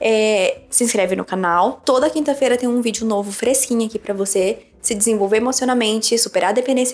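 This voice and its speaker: Over noticeable background noise, a woman talks at a fairly quick pace and a fairly high pitch, with ordinary pitch variation. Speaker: psychologist and relationship coach. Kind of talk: casual chat. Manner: fast; animated.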